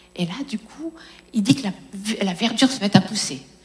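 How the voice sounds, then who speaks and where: A woman speaks fairly slowly in a fairly high voice, with ordinary pitch variation. Noticeable background noise can be heard. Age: 50s. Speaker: preacher. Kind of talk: sermon.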